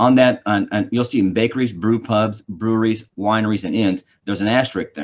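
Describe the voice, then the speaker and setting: Speaking at a fairly quick pace with hardly any pauses, a man keeps a medium pitch and fairly even intonation. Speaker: government official. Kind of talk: presentation. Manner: fast.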